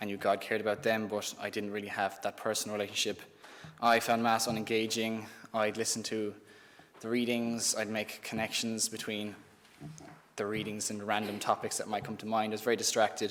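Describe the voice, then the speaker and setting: A man speaks with an Irish accent at a fairly quick pace. His pitch is fairly low and his intonation is monotone and flat. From Ireland (Thurles, Tipperary). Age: 20s. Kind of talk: testimony. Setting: live-streamed youth event.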